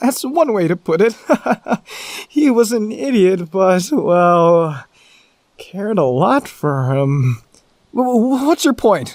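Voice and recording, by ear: A man puts on a character voice with a high pitch and big pitch swings. He speaks at a slow pace in a slightly mellow tone.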